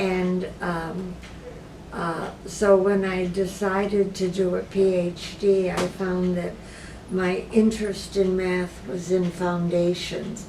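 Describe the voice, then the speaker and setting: Amid noticeable background noise and audible room echo, a woman speaks at a very slow pace and medium pitch in a flat monotone. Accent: American. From US Midwest, Michigan. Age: 80s+. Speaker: patient and retired philosophy professor. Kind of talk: interview. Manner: halting, many fillers.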